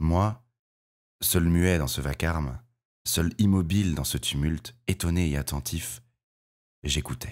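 Very deep and low, a man speaks at a very slow pace in a theatrical tone with ordinary pitch variation. The recording is very clean and the background silent. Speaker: audiobook narrator. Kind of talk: dramatic audiobook narration, read aloud with character voices. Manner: theatrical, expressive, varying tone for each character; measured, gravely paced storytelling.

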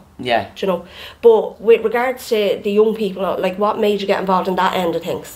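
Speaking fairly quickly, a woman uses a medium pitch with ordinary pitch variation. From Ireland. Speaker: podcast co-host. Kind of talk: casual chat. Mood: relaxed, friendly chat. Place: cafe. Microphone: studio mic.

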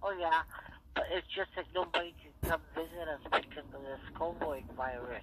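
Vocal fry marks a woman's fairly low voice. She talks at a moderate pace with ordinary pitch variation. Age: 60s. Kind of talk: casual phone conversation.

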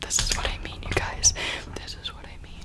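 Whispering comes from a woman. She keeps a moderate pace. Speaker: ASMR creator. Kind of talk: ASMR whisper ramble. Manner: whispered. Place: home room. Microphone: studio mic.

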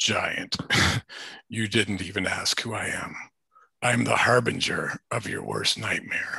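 A put-on character voice, raspy and menacing in tone. Long, frequent pauses break up the delivery. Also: man, fairly low pitch for a man, fairly slow pace.

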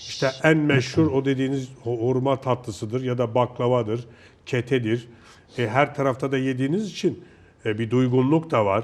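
In an ordinary speaking voice, the speaker uses ordinary pitch variation at a moderate pace. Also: man. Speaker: TV show host. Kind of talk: casual interview chat. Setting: studio.

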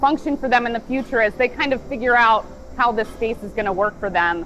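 Over faint music in the background, a woman with a high voice speaks with ordinary pitch variation. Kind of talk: interview answer. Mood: calm, thoughtful. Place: factory. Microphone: lapel.

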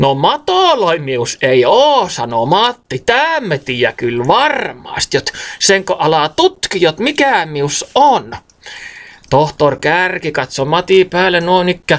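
A man's high-pitched voice at a very slow pace, with very wide pitch swings. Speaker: storyteller. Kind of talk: dialect storytelling. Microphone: phone near.

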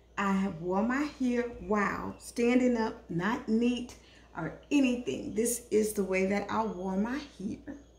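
Speaking slowly at a medium pitch, a woman has a slightly mellow tone with vocal fry. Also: ordinary pitch variation.

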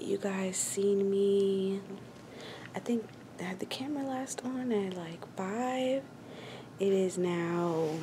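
With noticeable background noise around her, a woman speaks at a very slow pace, leaving long, frequent pauses. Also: ordinary pitch variation. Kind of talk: casual vlog chat. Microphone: phone near.

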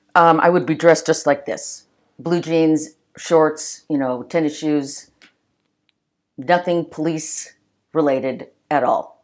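A woman's very deep, low voice with an American accent, monotone and flat, at a very slow pace with long, frequent pauses, on a very clean recording with a silent background. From Los Angeles area, California (early childhood Long Island, New York). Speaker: retired police officer. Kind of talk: interview storytelling.

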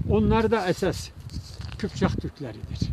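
Over noticeable background noise, a man speaks at a fairly slow pace in a dry recording with no echo. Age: old. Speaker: folk minstrel; local poet, storyteller. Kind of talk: casual chat. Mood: calm, thoughtful. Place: open country. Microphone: phone near.

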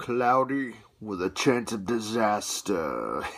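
A man's put-on character voice at a medium pitch, at a very slow pace. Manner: dry, deadpan.

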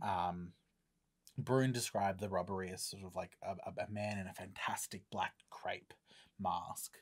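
A man speaks at a fairly slow pace with a fairly low pitch and fairly even intonation against a quiet background. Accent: Australian. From Australia. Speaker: podcast host. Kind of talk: casual chat. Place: studio. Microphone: studio mic.

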